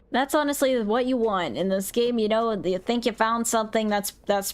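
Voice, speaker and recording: A woman talks at a moderate pace with fairly high pitch. She has an unremarkable speaking voice and ordinary pitch variation. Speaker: gaming streamer. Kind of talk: live gameplay commentary. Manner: casual, off the cuff.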